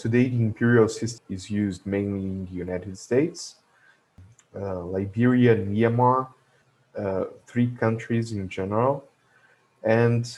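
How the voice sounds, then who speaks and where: A man with a Portuguese accent speaks at a moderate pace and medium pitch, with ordinary pitch variation. His loudness swings widely, and he leaves long, frequent pauses. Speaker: logistics educator. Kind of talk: tutorial. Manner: halting, many fillers.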